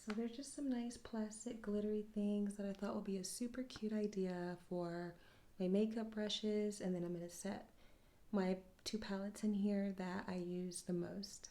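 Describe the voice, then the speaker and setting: A soft-spoken woman with a medium pitch talks at a moderate pace in a relaxed tone, her intonation fairly even. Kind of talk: ASMR soft-spoken talk to camera. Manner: soft-spoken, relaxed.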